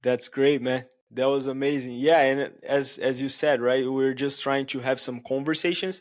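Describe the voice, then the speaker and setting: A man's voice with a Brazilian accent and fairly even intonation. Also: medium pitch for a man, moderate pace. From Brazil, Itaquera (São Paulo). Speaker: podcast host. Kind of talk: casual chat.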